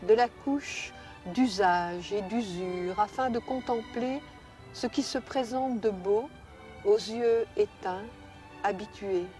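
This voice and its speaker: Over music in the background, a woman speaks at a very slow pace with fairly high pitch and ordinary pitch variation. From Belgium. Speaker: poet. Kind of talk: poetry reading.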